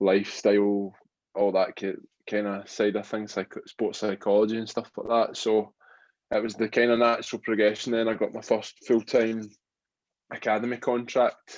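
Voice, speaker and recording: A man's fairly low voice in a Glaswegian accent, with monotone, flat intonation. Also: moderate pace. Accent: Glaswegian Scottish. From Scotland, Glasgow. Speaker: rugby player turned boxer. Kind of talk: interview.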